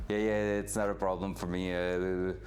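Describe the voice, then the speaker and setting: A man's fairly low voice with a French Canadian accent at a moderate pace, in audible room echo. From Quebec. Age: 20s. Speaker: streamer, hobby mechanic. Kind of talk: casual livestream talk while working on a car. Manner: hesitant, many fillers.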